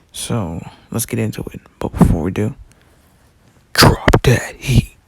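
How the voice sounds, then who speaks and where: The speaker is soft-spoken and talks at a fairly slow pace. Loudness swings in a big way. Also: man. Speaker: YouTuber. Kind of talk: casual storytelling monologue. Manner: quiet, speaking softly; hesitant with many fillers.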